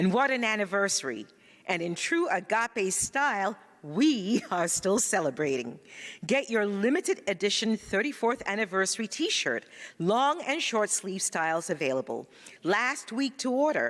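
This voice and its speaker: Vocal fry runs through a woman's medium-pitched voice as it makes very wide pitch swings. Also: moderate pace. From Ghana. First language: Ga. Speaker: spiritual practitioner, church announcer. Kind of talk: church announcements; greeting to congregation.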